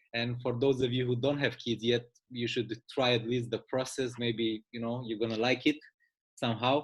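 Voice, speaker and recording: The speaker has a Romanian accent and a moderate pace. The intonation is monotone and flat. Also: man, medium pitch for a man. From Romania, Bucharest. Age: 30s. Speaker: business presenter. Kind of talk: sales pitch.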